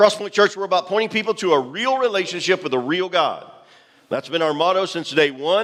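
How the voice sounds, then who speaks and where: Loud and animated, a man speaks in a high pitch at a fairly quick pace over noticeable background noise. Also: ordinary pitch variation. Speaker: pastor. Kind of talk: sermon.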